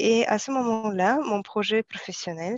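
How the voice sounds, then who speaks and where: A woman at a very slow pace, dry and close with no echo, against a quiet background. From Kazakhstan. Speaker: software developer, former translator. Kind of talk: interview testimony. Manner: halting, many hesitations.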